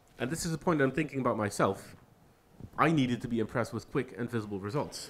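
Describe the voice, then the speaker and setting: Speaking very fast, a man keeps his pitch variation ordinary. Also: medium pitch for a man. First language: not English. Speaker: software engineer giving a guest talk. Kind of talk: lecture.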